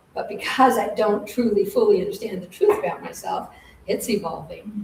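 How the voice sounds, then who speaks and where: Noticeable background noise and audible room echo surround a woman's voice. Her pitch is fairly high and her intonation fairly even. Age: 60s. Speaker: spiritual teacher. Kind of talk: spiritual lecture with group discussion. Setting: live-streamed class in a center.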